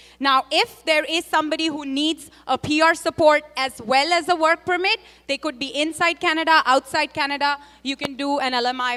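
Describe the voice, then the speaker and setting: A woman's raised, projected voice, high-pitched, bright and sharp, with ordinary pitch variation and a dry, close sound with no echo. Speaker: immigration consultant. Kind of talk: panel discussion. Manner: fast.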